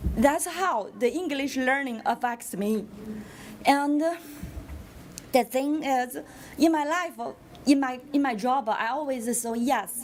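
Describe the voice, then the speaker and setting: With a non-native accent, a woman speaks at a high pitch and a very slow pace, using ordinary pitch variation and long, frequent pauses. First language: not English. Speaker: parent speaking at public comment. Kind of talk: public comment at school board meeting. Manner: halting.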